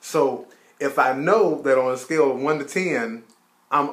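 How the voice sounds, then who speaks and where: A man with a fairly high pitch speaks at a fairly slow pace. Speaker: marriage advice vlogger. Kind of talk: casual advice chat between spouses. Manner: loud.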